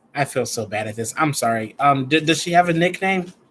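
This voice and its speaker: An animated man speaks with an American accent at a moderate pace. His pitch is fairly high. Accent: people say it sounds Southern, like Georgia. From US Midwest (Chicago). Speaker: tarot reader. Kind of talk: live stream reading, casual chat. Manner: casual, animated.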